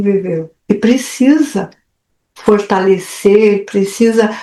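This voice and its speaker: This woman's pitch is fairly high, with ordinary pitch variation. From far south of Brazil. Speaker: personal development mentor. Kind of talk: therapeutic group talk. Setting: video call.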